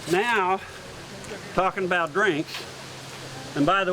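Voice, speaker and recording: Noticeable background noise sits behind a man with an American accent. He speaks very slowly at a high pitch. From California. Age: 70s. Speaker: sword swallower and stage performer. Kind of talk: live performance patter. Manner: folksy joking showman.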